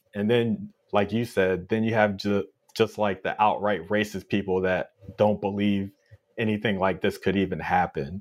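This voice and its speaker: A man speaks with an American accent at a moderate pace. His pitch is fairly low, his intonation monotone and flat. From Minneapolis, Minnesota. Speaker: Air Force veteran, podcast panelist. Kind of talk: roundtable discussion. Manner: frequent filler words (uh).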